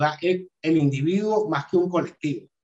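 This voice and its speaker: An ordinary speaking voice with normal pitch movement, delivered at a medium pace. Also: man. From Venezuela, Caracas. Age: 40s. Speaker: crypto analyst and videographer. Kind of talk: interview.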